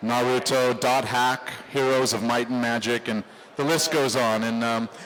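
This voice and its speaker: A man speaks in a monotone with flat intonation. Noticeable background noise runs behind him. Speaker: voice actor. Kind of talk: convention panel talk. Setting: convention stage, live audience.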